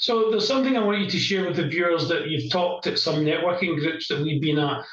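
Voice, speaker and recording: Amid noticeable background noise and audible room echo, a man with a Scottish accent speaks at a very fast pace in a high voice, with ordinary pitch variation and very even loudness. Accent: broad Scottish. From Scotland. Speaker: business interview show host. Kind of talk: interview. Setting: in the same room as the guest.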